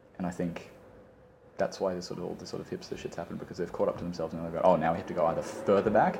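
Talking at a very fast pace, a man's voice shows big swings in loudness. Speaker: friend chatting over tea. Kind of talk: casual chat.

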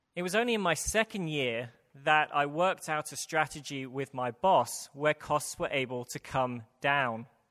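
At a moderate pace, a man with a British accent speaks at a fairly high pitch with lively intonation and a bright, sharp tone, in a very clean recording with a silent background and a dry, close sound with no echo. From UK. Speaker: preacher. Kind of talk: sermon. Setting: church.

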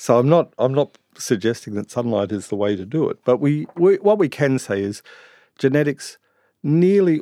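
A man with an Australian accent speaks at a moderate pace in a dark, mellow tone, his voice dry and close with no echo against a quiet background. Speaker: integrative medicine doctor. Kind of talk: interview. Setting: studio.

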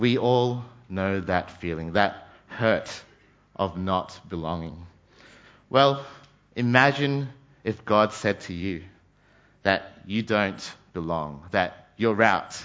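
A man with an Australian accent at a fairly low pitch, very slow and broken by long, frequent pauses, with ordinary pitch variation. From Australia, Brisbane (childhood also in Malaysia and New Zealand). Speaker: trainee pastor. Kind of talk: sermon.

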